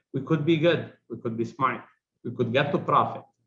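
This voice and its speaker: Vocal fry runs through a man's speech, marked by a strong non-native accent. His pace is fairly quick and his intonation fairly even. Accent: heavy foreign accent, kept it. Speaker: business executive. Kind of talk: interview.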